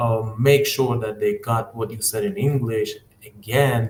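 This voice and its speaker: Somewhat breathy, a man speaks very slowly in an Iranian accent. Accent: Iranian (Persian) accent in English. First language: Persian. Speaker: English teacher trainer. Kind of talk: live-stream tutorial. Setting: live stream on YouTube and Instagram. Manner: hesitant, many fillers.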